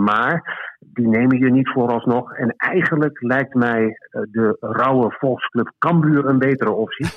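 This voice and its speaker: A man's medium-pitched, a plain, everyday voice with ordinary pitch variation. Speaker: sports journalist and author. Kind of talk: interview. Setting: phone call.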